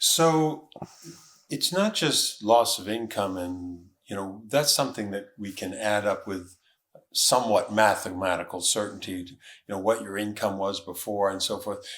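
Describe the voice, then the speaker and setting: With a plain, everyday voice, a man talks at a fairly slow pace and a fairly low pitch, with ordinary pitch variation. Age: 60s. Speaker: lawyer and podcast host. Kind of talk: interview.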